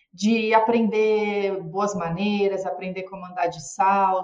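A woman speaks at a fairly slow pace with a medium pitch. She has an ordinary speaking voice. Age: 40s. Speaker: physician and former model. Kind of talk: casual chat.

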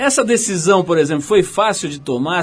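A man talks at a moderate pace in an ordinary speaking voice. His pitch varies in an ordinary way. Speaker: radio host. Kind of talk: interview. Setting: radio studio.

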